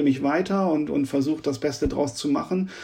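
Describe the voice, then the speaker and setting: Spoken in a normal speaking voice, this clip moves at a fairly quick pace. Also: man. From northern Germany, Oldenburg. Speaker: techno DJ, producer and label owner. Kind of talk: interview.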